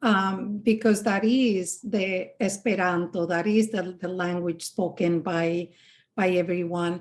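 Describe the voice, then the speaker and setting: Speaking with a Spanish accent, a woman uses medium pitch and fairly even intonation at a very slow pace. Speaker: podcast host. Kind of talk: interview conversation. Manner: hesitant, many fillers.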